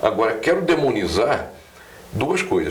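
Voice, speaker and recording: A man talks with audible room echo and noticeable background noise. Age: 70s. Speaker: journalist. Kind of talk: political commentary. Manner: halting, many hesitations.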